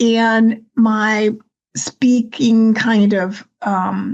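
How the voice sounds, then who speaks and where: Somewhat breathy, the woman talks very slowly. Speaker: retiree podcast host. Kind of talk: interview answer.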